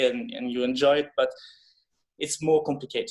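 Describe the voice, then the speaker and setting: A man speaks with a French accent at a fairly high pitch. His pitch varies in an ordinary way. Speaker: film director. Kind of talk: interview. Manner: halting.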